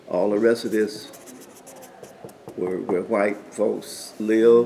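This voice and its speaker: A man with a Southern US accent, medium-pitched and fairly even in intonation, at a very slow pace over noticeable background noise. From Orlando, Florida. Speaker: lawyer. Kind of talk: interview answer.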